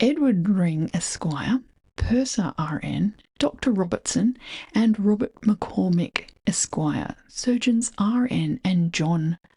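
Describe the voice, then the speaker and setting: Very slowly, a woman speaks in a dark, mellow, somewhat breathy tone with lively intonation and very even loudness. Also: medium pitch for a woman, dry, close sound with no echo. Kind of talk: reading aloud from a 19th-century preface.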